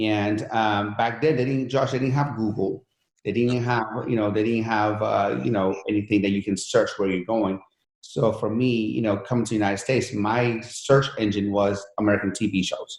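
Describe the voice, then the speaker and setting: A man at a moderate pace, his pitch fairly low. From Iran, raised from 11 in Pennsylvania. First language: Persian. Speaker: entrepreneur and fitness coach. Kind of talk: interview storytelling. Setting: podcast interview. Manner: animated, many fillers.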